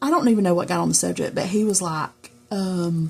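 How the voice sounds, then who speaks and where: At a moderate pace, a woman with a Southern US accent talks at a medium pitch. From US South. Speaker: journaling crafter, video creator. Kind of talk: casual chat. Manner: rambling, conversational.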